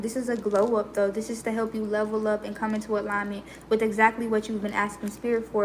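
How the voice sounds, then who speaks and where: Noticeable background noise under a woman's fairly high pitch, monotone, flat intonation and very fast pace. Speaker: tarot reader. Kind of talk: tarot reading livestream. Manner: smooth, serene.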